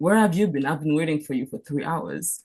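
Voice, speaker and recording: A woman speaks with a French accent in a somewhat breathy voice. The background is quiet. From Cameroon. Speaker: physician. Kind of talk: panel talk. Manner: halting.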